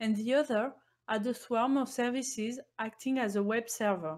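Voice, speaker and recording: The woman's voice sits fairly high in pitch with ordinary pitch variation. She talks at a moderate pace. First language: not English. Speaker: embedded Linux engineer presenting at a conference. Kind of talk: technical conference talk. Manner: formal.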